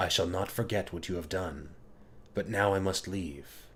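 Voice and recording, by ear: Someone reads aloud, using a natural voice.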